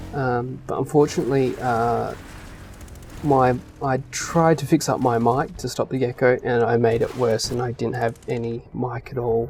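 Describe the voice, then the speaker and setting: The speaker mumbles at a moderate pace in an Australian accent. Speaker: gaming youtuber. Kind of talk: casual chat. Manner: mumbling; hesitant, many fillers.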